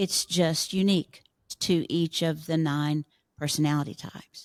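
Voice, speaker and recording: Moderate pace and fairly even intonation, dry and close with no echo. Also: woman, very deep, low pitch for a woman. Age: 70s. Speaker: Enneagram teacher and author. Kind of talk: interview conversation.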